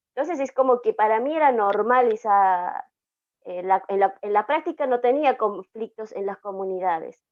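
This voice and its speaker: In an Andean accent, a woman speaks at a fairly high pitch. Her pace is moderate and her pitch variation ordinary. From Aymara highland communities, Andes. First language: Aymara (speaking Spanish). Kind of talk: panel discussion, personal testimony. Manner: hesitant, many fillers.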